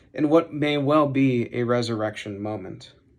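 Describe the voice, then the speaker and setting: In an unremarkable speaking voice, a man talks at a fairly slow pace with lively intonation. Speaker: seminary student preaching. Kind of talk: sermon.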